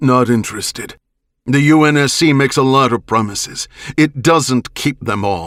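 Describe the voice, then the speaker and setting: Putting on a character voice, a man talks at a moderate pace with medium pitch and ordinary pitch variation. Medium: read story. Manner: suspicious, blunt.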